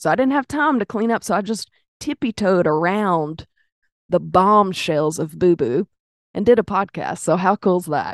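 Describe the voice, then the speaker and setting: Against a quiet background, a woman speaks at a moderate pace and medium pitch with lively intonation, the sound dry and close with no echo. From US South, Arkansas (Pine Bluff). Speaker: podcast host. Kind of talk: casual chat. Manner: animated.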